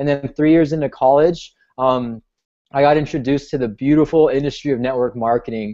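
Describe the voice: A man with an American accent, fairly high in pitch with a dark, mellow tone, at a fairly quick pace with ordinary pitch variation.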